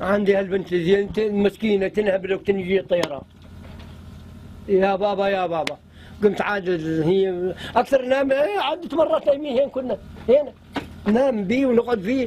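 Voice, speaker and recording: A man with a high pitch speaks at a moderate pace with lively intonation and long, frequent pauses, over noticeable background noise. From Syria, southern Aleppo countryside. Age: 60s. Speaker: villager who dug an underground home. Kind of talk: interview. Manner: halting.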